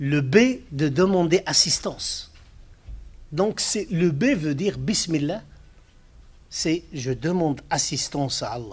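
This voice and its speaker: The speaker has a Moroccan accent and lively intonation. The pace is very slow, with long, frequent pauses. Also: man, fairly high pitch for a man. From Morocco. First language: Arabic (speaking French). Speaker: Islamic scholar, speaker. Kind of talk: lecture.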